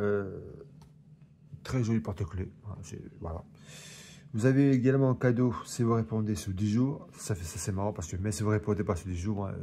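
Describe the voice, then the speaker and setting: A man speaks fairly quickly in a fairly low, dark, mellow, somewhat breathy voice with ordinary pitch variation. Long, frequent pauses break up his speech. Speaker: collector reviewing magazine collections. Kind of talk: casual unboxing review. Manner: stumbling over words.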